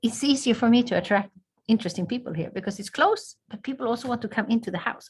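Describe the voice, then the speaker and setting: A somewhat breathy woman's voice with a Swedish accent. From southern Sweden. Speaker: ambassador. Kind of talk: interview. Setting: video call.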